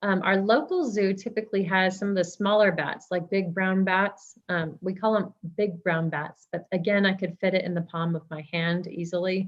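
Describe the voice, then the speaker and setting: This is a normal speaking voice at a moderate pace with hardly any pauses. The intonation stays fairly even. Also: woman, medium pitch for a woman. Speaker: bat specialist. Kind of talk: educational talk. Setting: video call.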